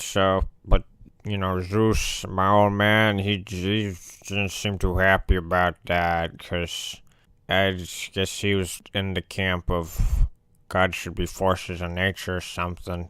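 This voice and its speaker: A man does a put-on character voice with a very deep, low pitch. He speaks at a fairly slow pace. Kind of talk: comedic character monologue to camera. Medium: role play. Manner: casual, rambling.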